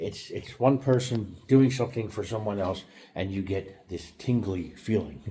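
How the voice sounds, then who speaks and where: Somewhat breathy and dark, mellow in tone, a man speaks at a fairly low pitch with an American accent. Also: ordinary pitch variation, moderate pace. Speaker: YouTuber. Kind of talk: casual monologue vlog. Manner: halting, many fillers and restarts.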